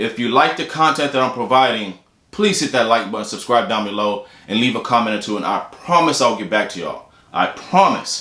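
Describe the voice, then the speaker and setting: Against audible room echo, a man with an American accent talks at a medium pitch and moderate pace with lively intonation. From Houston, Texas. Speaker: doctor and video blogger. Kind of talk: casual vlog talk to camera. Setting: office.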